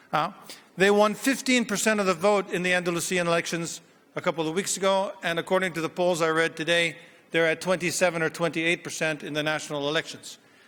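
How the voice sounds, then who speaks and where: Talking at a very fast pace, a man uses a high pitch and fairly even intonation. His tone is bright and sharp, with an American accent. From United States. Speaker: business school professor. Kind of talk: conference keynote speech. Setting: stage with audience. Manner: hesitant, many fillers.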